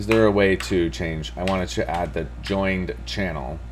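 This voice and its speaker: Speaking at a fairly slow pace, a man uses a very deep, low pitch with vocal fry. Audible room echo fills the recording. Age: 30s. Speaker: programming live streamer. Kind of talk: live coding stream. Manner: casual, thinking aloud.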